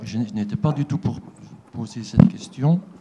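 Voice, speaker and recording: A man talks at a moderate pace. Noticeable noise can be heard behind him. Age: 60s. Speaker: audience member at conference. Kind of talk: question from the floor.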